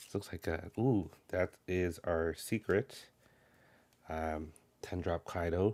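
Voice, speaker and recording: Quietly, a man with a very deep, low pitch and a dark, mellow tone speaks with fairly even intonation on a very clean recording with a silent background. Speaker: card game content creator. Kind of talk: unboxing commentary. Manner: mellow, quiet.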